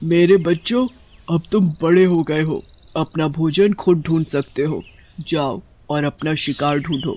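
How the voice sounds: A man puts on a cartoonish character voice at a fairly high pitch. He speaks at a fairly slow pace.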